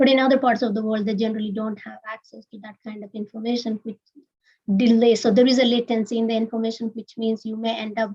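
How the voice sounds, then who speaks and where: A woman speaks in a fairly high pitch with a somewhat breathy quality. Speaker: research scientist presenting a project. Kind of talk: webinar presentation. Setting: live-streamed webinar.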